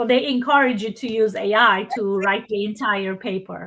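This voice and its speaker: A woman with a non-native accent, fairly slow, with a bright, sharp tone. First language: not English. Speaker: workshop presenter. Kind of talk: Q&A discussion. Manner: halting.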